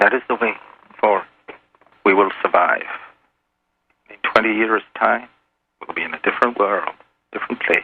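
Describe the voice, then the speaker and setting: A man with an Irish accent at a moderate pace, broken by long, frequent pauses. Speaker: anonymous caller. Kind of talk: radio interview. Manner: hard to understand at times.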